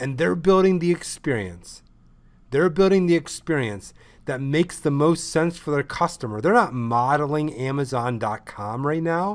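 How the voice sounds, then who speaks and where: The recording is very clean, with a silent background. A man speaks at a moderate pace in an animated tone with lively intonation. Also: fairly high pitch for a man. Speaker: ecommerce consultant. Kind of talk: lecture. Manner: loud.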